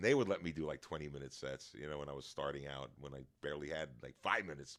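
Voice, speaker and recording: A man's very deep, low voice with vocal fry, very fast pace and fairly even intonation, in a New York accent. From New York, Long Island. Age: 60s. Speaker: stand-up comedian. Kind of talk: casual chat.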